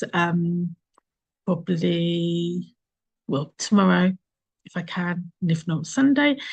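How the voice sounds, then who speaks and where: A woman talks in a strong Essex accent. Her voice is somewhat breathy against a quiet background. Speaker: marketing agency founder, workshop host. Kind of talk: online workshop interview.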